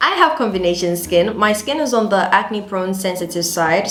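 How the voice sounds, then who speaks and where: Lively intonation and a moderate pace come through amid noticeable background noise and audible room echo. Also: woman. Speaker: beauty and lifestyle youtuber. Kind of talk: casual tutorial vlog.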